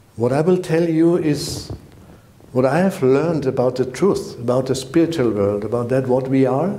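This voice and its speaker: The speaker has a German accent and keeps a very even volume with ordinary pitch variation. The pace is moderate, and room echo is audible. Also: man, medium pitch for a man. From Germany. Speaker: spiritual teacher. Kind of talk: direct-to-camera channel introduction. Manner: halting, non-native phrasing.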